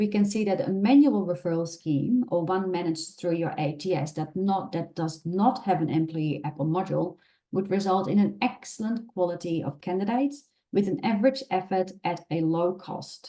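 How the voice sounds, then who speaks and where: This voice carries a Dutch accent, a dark, mellow tone and lively intonation at a moderate pace. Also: woman. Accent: Dutch accent, persistent. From Netherlands. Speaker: recruitment specialist, webinar presenter. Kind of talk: webinar presentation. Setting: online webinar.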